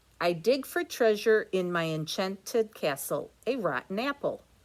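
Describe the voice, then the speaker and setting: Someone does a hissing put-on character voice at a fairly high pitch and a moderate pace. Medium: read story. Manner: curt, dismissive.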